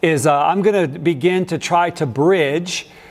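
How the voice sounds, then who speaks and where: A man talking at a fairly slow pace. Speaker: pastor. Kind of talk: sermon. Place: church. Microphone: lapel.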